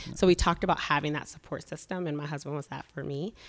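A woman with an American accent speaks very fast at a very deep, low pitch with fairly even intonation, on a very clean recording with a silent background. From Chicago South Side and northwest Indiana. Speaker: nurse injector and aesthetics business owner. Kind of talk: interview.

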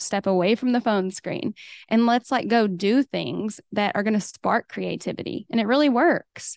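A woman speaks at a moderate pace with a slight Oklahoma accent, her pitch fairly high with ordinary variation. The sound is dry and close with no echo, over a quiet background. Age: 30s. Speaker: hairstylist and educator. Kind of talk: casual interview chat.

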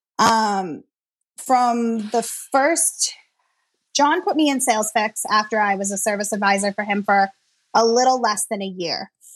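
This woman has an American accent and a fairly high pitch, with ordinary pitch variation. She talks at a fairly slow pace against a quiet background. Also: long, frequent pauses. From Massachusetts. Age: 30s. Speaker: service advisor. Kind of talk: interview.

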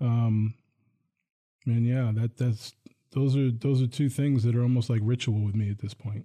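A man with an American accent talks at a moderate pace in a somewhat breathy, medium-pitched voice. His intonation is monotone and flat, with long, frequent pauses. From northern New Jersey, Bergen County. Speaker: college police chief, retired city police major. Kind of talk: radio interview.

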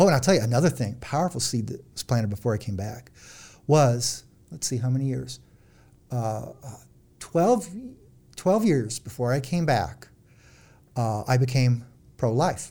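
A man with a Midwestern US accent speaks at a moderate pace, somewhat breathy, with a dark, mellow tone, lively intonation, and long, frequent pauses. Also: medium pitch for a man. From central Illinois. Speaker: psychologist and author. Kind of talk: interview. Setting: studio.

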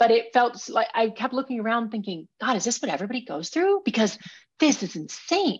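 A woman with an American accent at a fairly quick pace, her pitch swinging very widely. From Minnesota. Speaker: professional climber and author. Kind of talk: interview.

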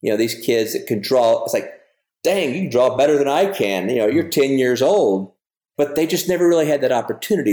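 This man's voice has a dark, mellow tone at a medium pitch, with very wide pitch swings. He talks at a fairly quick pace. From Louisiana, Lake Charles. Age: 60s. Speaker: artist. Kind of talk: casual interview.

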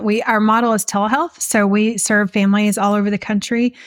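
In a very clean recording with a silent background and a dry, close sound with no echo, a woman talks at a fairly quick pace in a monotone, flat intonation at medium pitch. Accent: Texan. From West Texas. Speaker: nonprofit founder. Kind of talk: interview.

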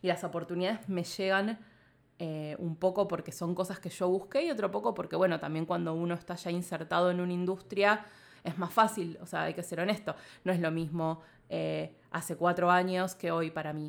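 In a Rioplatense accent, a woman speaks at a moderate pace and a fairly low pitch with fairly even intonation, on a very clean recording with a silent background. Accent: Argentine Rioplatense Spanish. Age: 30s. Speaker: podcast producer and journalist. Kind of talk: casual interview.

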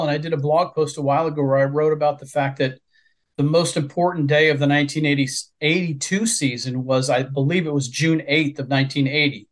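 Speaking with a Midwestern American accent, a man has a fairly high pitch. His intonation is fairly even and his pace moderate. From Southwest Ohio, near Cincinnati. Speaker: author. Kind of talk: interview.

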